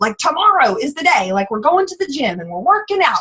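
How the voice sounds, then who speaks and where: With a bright, sharp tone and lively intonation, a woman talks at a fairly quick pace. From US South. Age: 20s. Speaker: network marketing distributor. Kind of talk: testimony. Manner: fast; animated.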